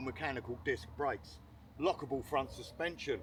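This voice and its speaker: Vocal fry runs through this man's medium-pitched voice. He talks at a fairly quick pace. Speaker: product reviewer. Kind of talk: product review. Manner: loud; casual.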